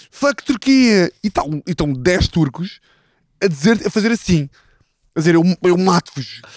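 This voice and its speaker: A man with a high pitch and lively intonation speaks at a fairly slow pace with long, frequent pauses, the sound dry with no echo and the background quiet. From Portugal, interior. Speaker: football podcast host. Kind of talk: casual chat. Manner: animated storytelling. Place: garden. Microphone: handheld.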